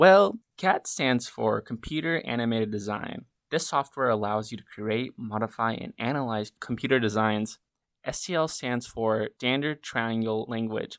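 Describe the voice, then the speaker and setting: The man has a plain, everyday voice at medium pitch, speaking at a moderate pace. The recording is very clean and silent behind him, with a dry, close sound and no echo. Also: ordinary pitch variation. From US South, western North Carolina. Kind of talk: scripted student podcast conversation.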